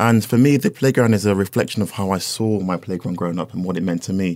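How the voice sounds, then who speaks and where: A man with a London accent at a very fast pace, with ordinary pitch variation, in a very clean recording with a silent background. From North London. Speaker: furniture designer. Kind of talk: casual interview chat. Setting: studio.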